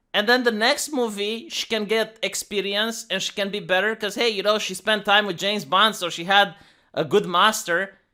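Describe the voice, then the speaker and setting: On a very clean recording with a silent background, the speaker talks at a fairly quick pace with a non-native accent. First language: not English. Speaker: YouTube commentator. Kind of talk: casual commentary rant. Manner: animated; halting, many repetitions.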